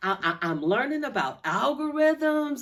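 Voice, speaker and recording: Moving at a fairly slow pace, a woman speaks in an animated tone. Her pitch swings very widely. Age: 60s. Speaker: vlogger. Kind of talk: casual vlog monologue.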